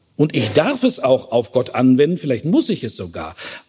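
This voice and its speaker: A man with a fairly high pitch and a dark, mellow tone speaks at a moderate pace, his pitch swinging very widely. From Germany, Westphalia. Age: 50s. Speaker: theologian. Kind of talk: lecture.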